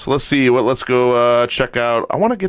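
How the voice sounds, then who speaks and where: A man talks at a fairly quick pace, his pitch medium. His intonation is lively. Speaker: music livestream host. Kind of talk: livestream chat. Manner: animated.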